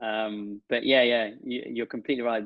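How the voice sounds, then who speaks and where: His intonation stays fairly even. A man is talking at a medium pitch. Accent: English Midlands. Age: 30s. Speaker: digital marketing entrepreneur. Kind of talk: podcast interview.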